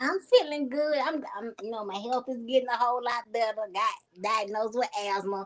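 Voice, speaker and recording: Speaking in a Southern accent, a woman uses a high pitch and a moderate pace, with ordinary pitch variation and big swings in loudness. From US South, Phenix City, Alabama. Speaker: comedian. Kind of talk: casual chat. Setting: live online broadcast.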